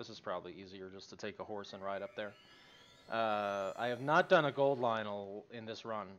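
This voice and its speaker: His loudness swings widely as a man speaks at a moderate pace. His fairly low pitch varies in an ordinary way. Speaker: gaming streamer. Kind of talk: live gameplay stream chat. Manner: talkative, hesitant fillers.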